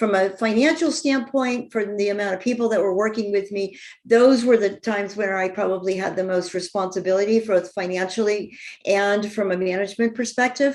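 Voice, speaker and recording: A woman's ordinary speaking voice at a medium pitch and fairly quick pace, with ordinary pitch variation. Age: 60s. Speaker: real estate developer and entrepreneur. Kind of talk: podcast interview.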